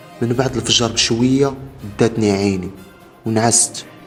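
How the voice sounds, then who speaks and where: Music sits in the background. A man talks at a moderate pace in a medium pitch. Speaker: horror story narrator. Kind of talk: horror story narration.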